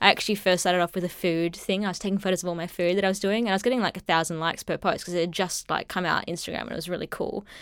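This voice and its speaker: In an Australian accent, the speaker rushes along at a very fast pace with monotone, flat intonation and hardly any pauses, in a very clean recording with a silent background. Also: woman, medium pitch for a woman. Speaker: business co-founder. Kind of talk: interview.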